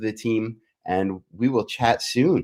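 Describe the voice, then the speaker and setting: A man in a New York accent with ordinary pitch variation. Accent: New York American. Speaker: martial arts business executive, show host. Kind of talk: online show interview.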